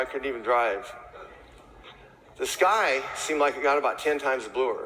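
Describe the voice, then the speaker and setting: Through noticeable background noise and audible room echo, a man speaks at a fairly quick pace with lively intonation. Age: 60s. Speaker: chimney sweep. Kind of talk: testimony. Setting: stage with audience. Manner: casual.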